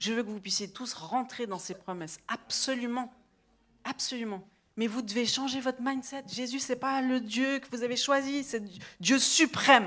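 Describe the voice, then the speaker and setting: A woman speaks loudly at a high pitch with an animated tone. Her pace is fairly slow and her pitch variation ordinary. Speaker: preacher. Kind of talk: sermon.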